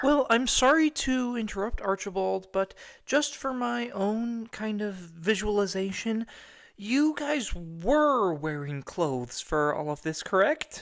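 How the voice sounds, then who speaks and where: A female-sounding put-on character voice at a medium pitch moves at a fairly slow pace with very wide pitch swings, on a very clean recording with a silent background. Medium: audio drama. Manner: blunt, deadpan.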